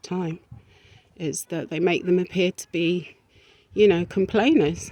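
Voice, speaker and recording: In an English accent, a woman with a fairly low voice speaks at a fairly slow pace, the sound dry and close with no echo. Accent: sounds English-born. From South America, raised in England. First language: Spanish. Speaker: video blogger. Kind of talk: personal vlog monologue. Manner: hesitant, many fillers.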